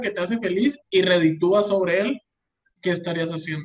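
This is a man talking. He has a Mexican accent. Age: 20s. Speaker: podcast co-host. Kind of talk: casual chat.

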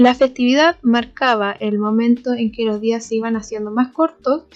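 In a Chilean accent, a woman with a fairly high pitch speaks at a fairly slow pace with monotone, flat intonation. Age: 20s. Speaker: podcast host. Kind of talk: casual solo podcast chat.

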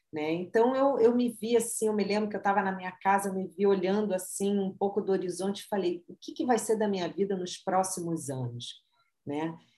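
A woman talks at a fairly quick pace in an ordinary speaking voice, at medium pitch with ordinary pitch variation. Her loudness swings widely. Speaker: marketing consultant and author. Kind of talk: interview, personal story.

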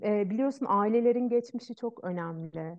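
Her pitch varies in an ordinary way as a woman with a normal speaking voice talks at a moderate pace. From Turkey, Ankara. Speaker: Ayurveda practitioner. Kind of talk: interview conversation. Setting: video call.

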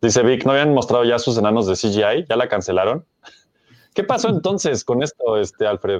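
A man talks at a moderate pace and medium pitch with lively intonation, in a dry, close sound with no echo. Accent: Mexican. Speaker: podcast host. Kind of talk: casual chat.

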